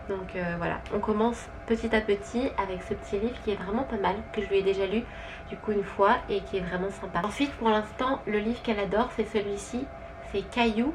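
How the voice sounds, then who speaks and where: A woman speaks at a medium pitch and a fairly quick pace, her intonation fairly even, with noticeable background noise behind her. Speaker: vlogger, stay-at-home mother. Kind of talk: casual vlog, haul video. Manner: hesitant, many fillers.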